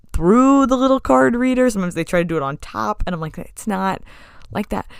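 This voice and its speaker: A woman at a medium pitch, fairly quick, with an animated tone and very wide pitch swings. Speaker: podcast host and restaurant server. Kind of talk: casual monologue.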